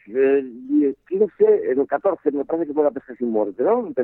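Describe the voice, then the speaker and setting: A man speaks with lively intonation. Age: 60s. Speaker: fly fishing expert and instructor. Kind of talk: casual interview. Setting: phone call.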